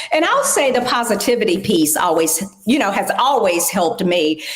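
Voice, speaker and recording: A woman speaks at a fairly slow pace, her pitch swinging very widely. Room echo is audible, along with noticeable background noise. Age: 60s. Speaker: aging advocate and corporate professional. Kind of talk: interview.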